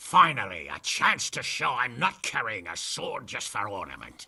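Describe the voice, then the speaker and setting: A man uses a put-on character voice, raspy and at a medium pitch, with big swings in loudness at a moderate pace. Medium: video game. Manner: blunt, crude, boisterous.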